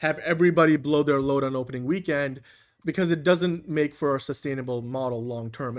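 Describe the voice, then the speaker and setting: In a non-native accent, a man with a fairly high pitch and ordinary pitch variation speaks at a very fast pace on a very clean recording with a silent background. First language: not English. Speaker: movie podcast host. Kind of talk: casual chat.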